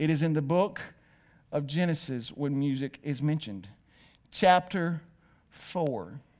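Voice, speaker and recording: Speaking in a Southern US accent, a man uses a fairly high pitch and a lively, animated delivery. He goes at a fairly slow pace with long, frequent pauses. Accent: Southern US (Georgia). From US South, north Georgia. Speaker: pastor. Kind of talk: sermon. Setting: church with live and online audience.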